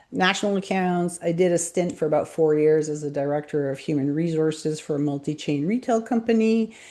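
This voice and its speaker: A woman with a Montreal accent, her fairly low voice dark and mellow, with lively intonation, a fairly quick pace, hardly any pauses and a quiet background. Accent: Canadian English, Montreal. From Montreal, Quebec, Canada. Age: 50s. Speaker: business coach and brand strategist. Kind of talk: interview self-introduction.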